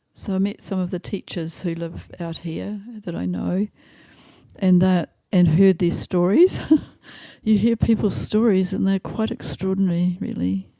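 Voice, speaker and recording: With a New Zealand accent, a woman talks at a moderate pace in a fairly low, dark, mellow voice with fairly even intonation. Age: 80s+. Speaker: retired school teacher. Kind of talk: interview answer. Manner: hesitant.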